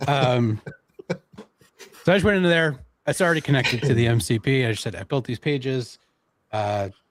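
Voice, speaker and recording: With a Canadian accent, a man uses an ordinary speaking voice at a medium pitch, moving at a moderate pace with lively intonation. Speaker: online marketing presenter. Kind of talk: live stream tech demo. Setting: live stream.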